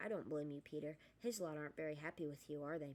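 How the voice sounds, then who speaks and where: In a put-on character voice that is croaky and hoarse, the speaker rattles along at a very fast pace in a middle pitch. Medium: read story.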